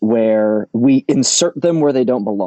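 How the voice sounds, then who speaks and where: The voice carries an American accent. Its pitch varies in an ordinary way. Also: man. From US, Rhode Island. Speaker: sales executive. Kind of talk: casual interview chat.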